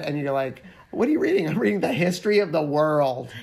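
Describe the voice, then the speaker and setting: A man's fairly high voice, playful in tone, fairly quick, with lively intonation. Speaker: podcast co-host. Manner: playful, jokey.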